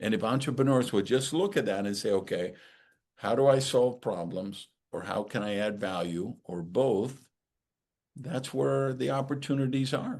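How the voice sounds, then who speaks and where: A man with a plain, everyday voice talks at a moderate pace and medium pitch, with lively intonation. The background is quiet. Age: 60s. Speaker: author and speaker. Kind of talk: podcast interview.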